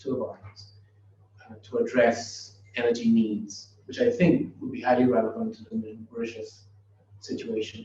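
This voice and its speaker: The speech comes at a moderate pace, somewhat breathy, with lively intonation. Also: man. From Trinidad and Tobago. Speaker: professor. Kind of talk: lecture. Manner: halting, with many fillers.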